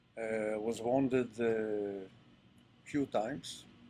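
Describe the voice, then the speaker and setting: A man with an Israeli accent speaks at a medium pitch with fairly even intonation. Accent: Israeli Hebrew. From Israel (Ashkelon). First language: Hebrew. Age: 70s. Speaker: retired army general. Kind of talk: interview talk to audience. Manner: halting, many fillers.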